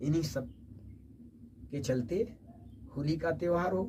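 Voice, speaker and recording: The man's speech, ordinary in its pitch variation, has audible room echo around it. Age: 70s. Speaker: poet. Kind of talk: interview.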